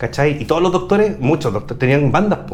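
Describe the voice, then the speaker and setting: The voice moves in very wide pitch swings. Noticeable background noise runs underneath. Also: man. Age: 40s. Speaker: YouTuber and photographer. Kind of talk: casual chat. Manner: animated.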